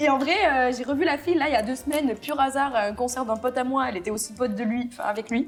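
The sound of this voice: High-pitched, a woman talks very fast with hardly any pauses. Noticeable background noise can be heard. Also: ordinary pitch variation.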